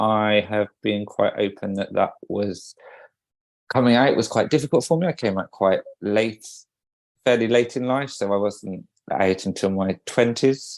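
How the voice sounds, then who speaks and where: With a British accent, a man speaks fairly slowly in a fairly low voice with ordinary pitch variation, the sound dry and close with no echo against a quiet background. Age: 40s. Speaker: podcast co-host, wedding photographer. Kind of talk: casual podcast chat.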